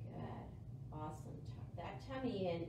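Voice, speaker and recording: Audible room echo and noticeable background noise both surround the woman talking. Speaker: yoga instructor. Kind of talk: guided core-focused yoga class cueing breath and movement. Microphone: camera far.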